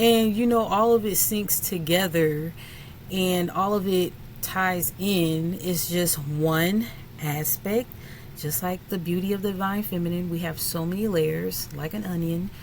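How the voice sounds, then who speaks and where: A woman with a fairly low voice talks at a fairly slow pace, with audible room echo and noticeable background noise. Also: ordinary pitch variation. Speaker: spiritual content creator. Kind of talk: casual chat to camera.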